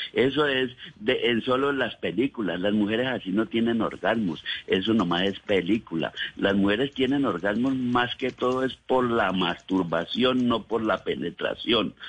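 An ordinary speaking voice moves at a fairly slow pace, with ordinary pitch variation and very even loudness. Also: man, medium pitch for a man. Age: 60s. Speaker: caller. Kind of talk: testimony. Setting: phone call.

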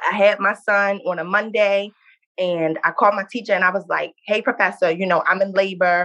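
A woman talks at a fairly quick pace with a bright, sharp tone. Her medium pitch follows fairly even intonation. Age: 20s. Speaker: nursing student and small business owner. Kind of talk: interview.

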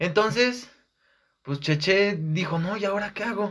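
Speaking with a Mexican accent, a man uses a high pitch and ordinary pitch variation. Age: 20s. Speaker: communication student. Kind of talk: casual chat.

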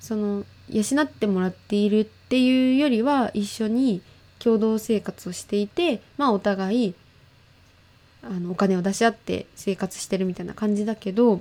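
Her tone dark and mellow, a woman speaks at a medium pitch and moderate pace with ordinary pitch variation. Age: 20s. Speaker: podcast host. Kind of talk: casual chat. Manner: animated.

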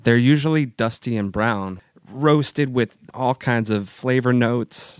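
A man at a medium pitch with ordinary pitch variation and a fairly slow pace, in a dry, close sound with no echo. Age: 30s. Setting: video call.

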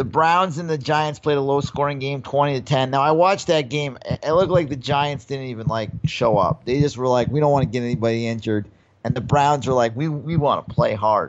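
A man with an American accent and a plain, everyday voice speaks at a fairly quick pace in a fairly high pitch, with hardly any pauses. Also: ordinary pitch variation. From New York. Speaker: podcast co-host and comedian. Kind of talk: casual chat.

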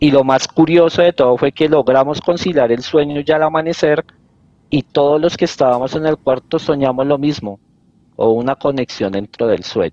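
In a dry, close recording with no echo, a man speaks at a moderate pace in a fairly high voice with a dark, mellow tone, ordinary pitch variation and very even loudness. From Colombia, Bogotá. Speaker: detective and podcast creator. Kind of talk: casual interview, storytelling.

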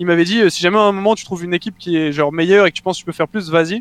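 The sound is dry and close, with no echo. A man speaks in a high voice with fairly even intonation. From southeastern France (Mougins, near Cannes). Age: 20s. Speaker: esports player and streamer. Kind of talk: interview.

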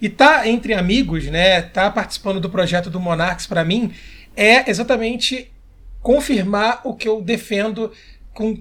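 Using ordinary pitch variation, a man speaks in a high pitch. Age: 30s. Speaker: game commentator and history teacher. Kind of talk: casual interview chat.

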